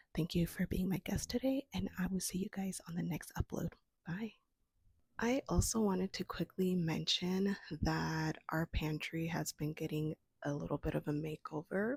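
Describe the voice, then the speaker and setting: A woman with a fairly low pitch and a somewhat breathy voice speaks at a moderate pace with ordinary pitch variation, in a dry, close sound with no echo. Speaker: homesteading vlogger. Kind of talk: casual vlog talk.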